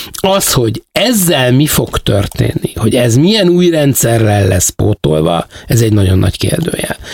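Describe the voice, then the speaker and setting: A man talks at a fairly slow pace with hardly any pauses and very even loudness, over noticeable background noise. His medium pitch moves in very wide swings. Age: old. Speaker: theatre producer. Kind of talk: interview. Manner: halting.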